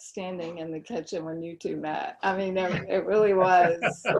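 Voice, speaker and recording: Speaking fairly slowly, the woman talks with a Southern US accent. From North Carolina, Fayetteville. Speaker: online group host and blogger. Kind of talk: casual group discussion.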